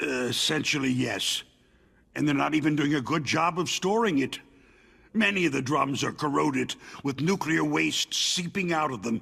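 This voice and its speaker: A man puts on a character voice, pitched fairly high with ordinary pitch variation. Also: moderate pace. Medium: video game. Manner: terse, blunt.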